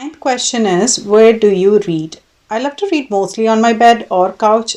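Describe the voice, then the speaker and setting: A woman's dark, mellow voice with a Keralan accent, moderate in pace and ordinary in pitch variation. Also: quiet background. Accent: Indian English (Malayali). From Kerala, India. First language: Malayalam. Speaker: book vlogger. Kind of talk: casual monologue (tag video). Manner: occasionally halting.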